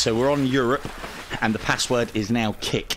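With an English accent and a playful tone, a man speaks at a moderate pace and medium pitch against noticeable background noise. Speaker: VR gaming channel host. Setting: online multiplayer voice chat. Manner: chatty, playful commentary.

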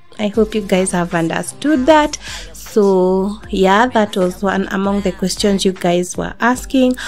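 A woman speaks at a fairly slow pace. Faint music plays in the background. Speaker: fitness vlogger. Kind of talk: casual vlog chat. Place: home room.

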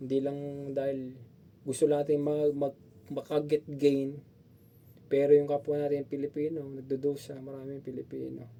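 This man's fairly high voice has a dark, mellow tone and a monotone, flat delivery at a moderate pace, broken by long, frequent pauses. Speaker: vlogger. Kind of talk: opinion vlog. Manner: halting.

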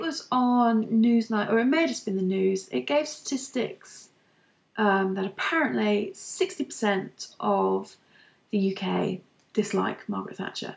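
Her pitch is fairly high, with lively intonation. The woman, speaking with a British accent, keeps a fairly slow pace. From UK. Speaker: beauty and lifestyle vlogger. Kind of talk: casual monologue vlog. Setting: at home, recording to camera. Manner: hesitant, many fillers. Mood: opinionated, conversational. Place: home room. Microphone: webcam.

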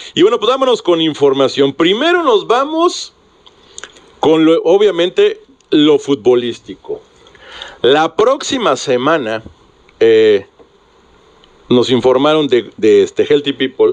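Very slow and broken by long, frequent pauses, a man's speech holds a very even loudness. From Mexico. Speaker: sports radio host. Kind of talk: sports talk radio. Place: studio. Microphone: studio mic.

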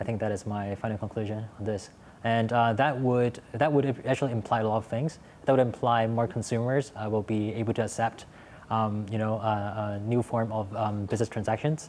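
A man with an American accent at a fairly quick pace, fairly even intonation, and light background noise. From Hong Kong. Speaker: startup executive; panelist. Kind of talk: panel discussion. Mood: relaxed, engaged. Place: studio. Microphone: lapel.

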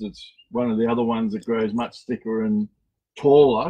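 A man with an Australian accent speaks with fairly even intonation. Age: 60s. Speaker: cactus garden owner; garden creator giving tour. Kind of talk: live guided tour. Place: garden. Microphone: phone near.

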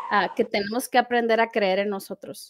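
Against a quiet background, a woman speaks with a fairly high pitch. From Mexico. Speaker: life coach. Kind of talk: interview. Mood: warm, heartfelt, animated.

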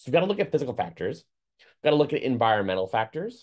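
A man speaks. The background is quiet. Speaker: certified dog trainer. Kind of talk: lecture. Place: home room. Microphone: webcam.

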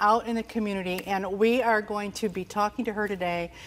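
A woman at a moderate pace with ordinary pitch variation. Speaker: TV show host. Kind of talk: show introduction to camera. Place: studio. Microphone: lapel.

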